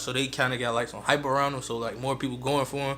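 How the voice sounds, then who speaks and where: A man's fairly high-pitched voice. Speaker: sneaker YouTuber. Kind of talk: unboxing video. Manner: fast; casual, relaxed.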